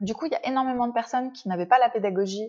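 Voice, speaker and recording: A woman talks at a very fast pace. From Paris region, France. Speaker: dog breeder. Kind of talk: interview.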